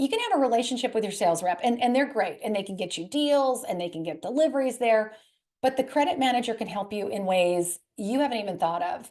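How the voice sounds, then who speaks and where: Very fast and lively in intonation, a woman talks at a fairly high pitch. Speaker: credit specialist, presenter. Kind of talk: webinar presentation.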